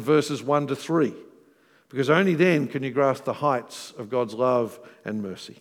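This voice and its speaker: A man speaks with an Australian accent at a fairly high pitch. The recording is very clean, with a silent background. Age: 40s. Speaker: pastor. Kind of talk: sermon. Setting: church.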